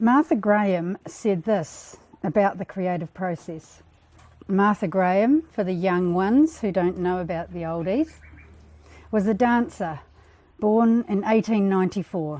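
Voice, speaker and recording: Speaking with an Australian accent, a woman with a dark, mellow tone uses lively intonation at a fairly slow pace. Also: medium pitch for a woman. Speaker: book launch speaker. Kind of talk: speech. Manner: soft-spoken.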